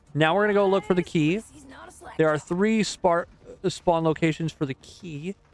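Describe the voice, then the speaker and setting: Moderate pace with long, frequent pauses, fairly even intonation and a dry, close sound with no echo. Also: man, high pitch for a man. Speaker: gaming youtuber. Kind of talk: let's play tutorial commentary. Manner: casual, hesitant with fillers.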